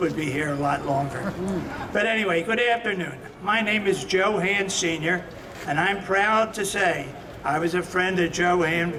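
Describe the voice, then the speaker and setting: There is audible room echo and noticeable background noise. A man with an American accent talks at a moderate pace and a high pitch, with ordinary pitch variation and very even loudness. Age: 70s. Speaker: boxing promoter and friend of the honoree. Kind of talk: ceremonial speech.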